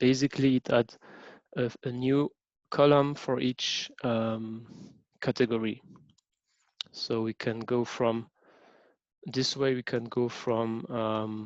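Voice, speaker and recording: A man speaks at medium pitch, very slowly, with long, frequent pauses. His intonation is flat and monotone, and the sound is dry and close with no echo. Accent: French. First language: French. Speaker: teaching assistant. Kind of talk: lecture. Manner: halting, many fillers.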